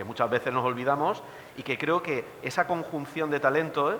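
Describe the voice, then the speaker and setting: A fairly quick delivery with ordinary pitch variation in an Alicante accent, over noticeable background noise. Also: man. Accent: Villena border. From Spain, Villena (Alicante). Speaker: teacher and film commentator. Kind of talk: panel talk. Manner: animated.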